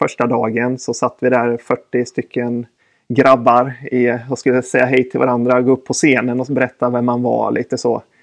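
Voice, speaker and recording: A man's voice at a medium pitch. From Sweden, Östergötland. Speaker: retail sales manager. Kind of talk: casual interview.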